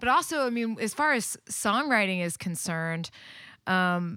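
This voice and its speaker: On a very clean recording with a silent background, a woman speaks in a normal speaking voice at a moderate pace. She has a medium pitch and an American accent. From Texas, near Waco. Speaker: singer-songwriter. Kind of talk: casual chat.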